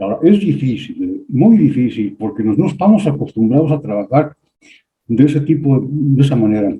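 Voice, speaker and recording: Somewhat breathy and fairly high-pitched, a man speaks at a moderate pace with lively intonation. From Mexico. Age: 70s. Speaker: audience participant. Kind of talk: online seminar discussion.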